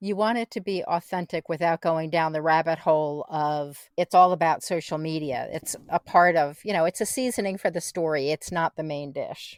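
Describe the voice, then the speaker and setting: A woman with an unremarkable speaking voice talks at a moderate pace, fairly low in pitch, with ordinary pitch variation and hardly any pauses. The recording is very clean, with a silent background and a dry, close sound with no echo. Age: 60s. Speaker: podcast host and writer. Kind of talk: scripted outro; casual chat.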